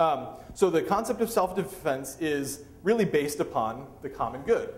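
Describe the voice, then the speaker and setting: A man's voice with audible room echo. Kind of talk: lecture. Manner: fast.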